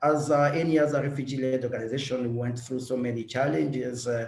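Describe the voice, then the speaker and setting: There is audible room echo as a man speaks at a moderate pace and medium pitch. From eastern Congo (Bukavu). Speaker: refugee-led organization director. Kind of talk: webinar introduction. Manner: halting, many fillers.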